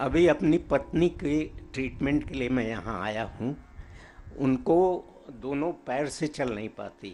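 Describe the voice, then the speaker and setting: Lively intonation colors a man's medium-pitched voice, which has a dark, mellow tone and vocal fry. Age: 70s. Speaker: patient giving testimony. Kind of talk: testimony. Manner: halting.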